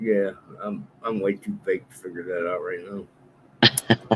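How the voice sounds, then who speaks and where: A man speaks at a fairly slow pace with fairly low pitch and fairly even intonation, against noticeable background noise. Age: 60s. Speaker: co-host. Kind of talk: casual chat.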